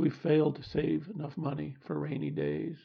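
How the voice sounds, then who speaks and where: A man with a Midwestern accent speaks at a fairly slow pace. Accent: general American, Midwestern. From US Midwest. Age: 70s. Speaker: podcast host. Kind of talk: scripted reflective monologue.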